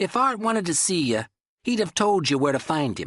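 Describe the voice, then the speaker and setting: A man speaks in a put-on character voice, pitched high and swinging very widely, against a quiet background. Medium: read story. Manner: gruff, dismissive.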